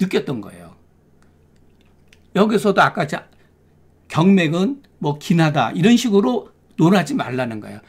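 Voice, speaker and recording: A man with vocal fry talks at a fairly slow pace, leaving long, frequent pauses, with very wide pitch swings and big swings in loudness. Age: 60s. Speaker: Korean medicine doctor and lecturer. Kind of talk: lecture. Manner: conversational.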